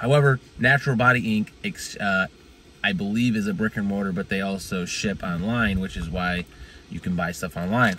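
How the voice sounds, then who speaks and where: A man talks at a moderate pace, the sound dry with no echo and light background noise behind him. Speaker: fitness reviewer. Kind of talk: casual vlog chat. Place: car. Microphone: phone near.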